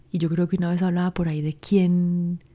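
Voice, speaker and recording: This woman has a fairly low, somewhat breathy voice with a warm tone that is dark and mellow. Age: 40s. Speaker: life coach podcast host. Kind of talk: solo podcast monologue.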